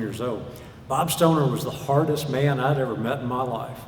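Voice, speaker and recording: Noticeable background noise and audible room echo are present. A man with a Southern US accent speaks at a moderate pace. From US South, Arkansas. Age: 60s. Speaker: preacher. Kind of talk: sermon.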